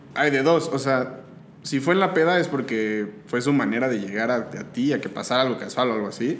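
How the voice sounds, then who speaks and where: Over noticeable background noise and audible room echo, a man talks at a fairly quick pace. His pitch sits in the middle range, with ordinary variation. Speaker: podcast guest. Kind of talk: casual chat. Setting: home studio.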